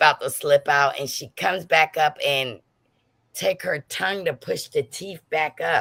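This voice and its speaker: A woman with a very deep, low pitch speaks at a fairly slow pace in a bright, sharp, animated tone, with very wide pitch swings and vocal fry, on a very clean recording with a silent background. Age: 60s. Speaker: gossip livestream host. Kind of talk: casual livestream chat.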